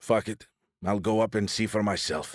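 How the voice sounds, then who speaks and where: A man's raspy, put-on character voice, fairly low in pitch, at a moderate pace. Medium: read story. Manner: cocky, irreverent.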